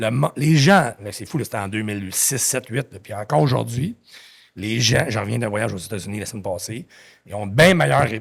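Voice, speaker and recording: A man with an animated tone talks fairly quickly at a medium pitch, with vocal fry and lively intonation on a very clean recording with a silent background. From Quebec. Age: 50s. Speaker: entrepreneur. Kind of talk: podcast interview. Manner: fast.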